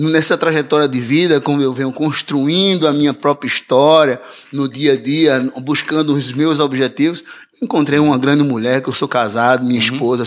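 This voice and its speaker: A man with a fairly high-pitched voice talks at a moderate pace with fairly even intonation over noticeable background noise. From Recife, Brazil. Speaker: musician. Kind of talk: casual interview.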